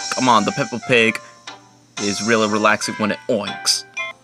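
Clear music plays behind a man speaking at a fairly low pitch. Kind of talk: puppet show intro chat. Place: home room. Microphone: phone near.

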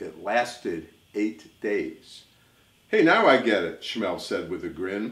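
A man speaking at a very slow pace with audible room echo. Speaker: storyteller. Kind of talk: reading a rhyming children's story aloud. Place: home room. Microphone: camera far.

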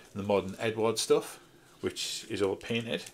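The speaker has a Geordie accent and a moderate pace. Light background noise runs underneath. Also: man. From northeast England, Newcastle. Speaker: scale model hobbyist YouTuber. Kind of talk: casual video review. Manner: hesitant, many fillers. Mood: nostalgic, relaxed. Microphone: phone near.

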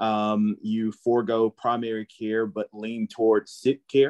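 A Southern US accent at a fairly slow pace, with fairly even intonation and a quiet background. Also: man. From Holly Springs, Mississippi; Mississippi. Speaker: physician; panelist. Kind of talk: panel discussion. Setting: video call. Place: home room. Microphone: video call.

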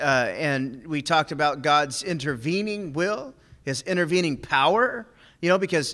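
His tone is bright and sharp. The man talks at a moderate pace. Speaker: preacher teaching a men's group. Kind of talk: sermon. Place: church. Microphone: podium.

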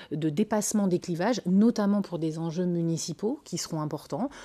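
This woman has a dark, mellow tone and talks at a moderate pace. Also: quiet background. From northern France, Lille; France. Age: 40s. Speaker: politician, municipal candidate; candidate. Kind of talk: TV interview. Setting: TV studio. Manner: hesitant, many fillers. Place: studio. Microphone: lapel.

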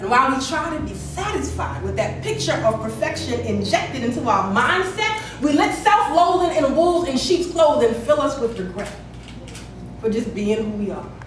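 Against light background noise and audible room echo, a woman with a high voice speaks at a moderate pace and swings her pitch very widely. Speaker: spoken word poet. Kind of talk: spoken word poetry performance, rhythmic rhyming verse. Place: hall. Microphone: camera far.

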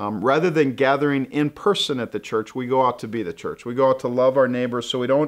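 Against a quiet background, a man speaks at a very fast pace. He leaves hardly any pauses. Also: ordinary pitch variation. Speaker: church pastor hosting. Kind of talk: casual welcome talk to viewers. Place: studio.

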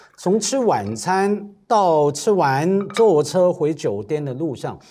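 Faint music plays in the background as a man speaks with very wide pitch swings. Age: 50s. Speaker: cultural commentator. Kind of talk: casual roundtable chat. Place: studio. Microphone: lapel.

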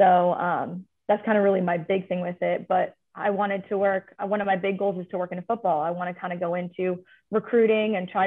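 With an American accent, a woman talks at a fairly quick pace and fairly even intonation against a quiet background. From California. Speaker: athletics administrative associate; panelist. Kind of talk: panel discussion. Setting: video call. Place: office. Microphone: video call.

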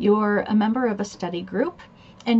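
Fairly even intonation marks a woman's speech. She keeps a moderate pace. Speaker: admissions test coach. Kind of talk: tutorial. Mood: warm, relaxed. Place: office. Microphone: webcam.

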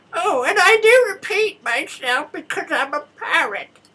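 Someone uses a put-on character voice and talks at a fairly slow pace. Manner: squawky, repetitive.

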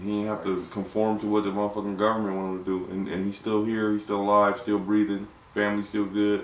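Against audible room echo, a man with an American accent and a fairly low pitch talks very fast, with hardly any pauses. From Ohio, Lorain near Cleveland; Ohio. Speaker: podcast host. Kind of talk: casual chat. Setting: studio with producer in the back. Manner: animated. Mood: laid-back, joking, opinionated. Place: studio.

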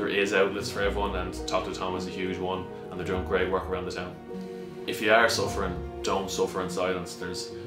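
A man talks at a very fast pace while clear music plays behind him. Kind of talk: appeal to camera. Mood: earnest, encouraging. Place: office.

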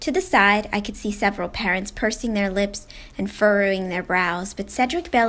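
The passage gets plain reading aloud. Nothing more is done than reading the words out.

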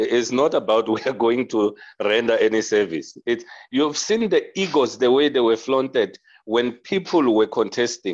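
Against a quiet background, a man with a South African accent speaks at a moderate pace with lively intonation and very even loudness. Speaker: audience participant; interview guest. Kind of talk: panel discussion. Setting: video call. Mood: earnest, argumentative. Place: home room. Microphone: video call.

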